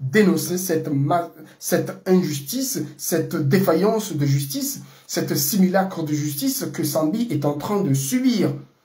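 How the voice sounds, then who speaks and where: Noticeable background noise and audible room echo accompany this recording. A man talks with a fairly high pitch and ordinary pitch variation. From Comoros. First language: Comorian (speaking French). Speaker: political commentator. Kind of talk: political monologue. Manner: halting, many fillers.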